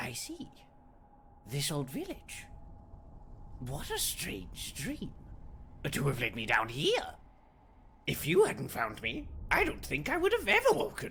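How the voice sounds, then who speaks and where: A man puts on a character voice, speaking at a fairly slow pace with long, frequent pauses. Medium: fan dub. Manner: smooth, amiable.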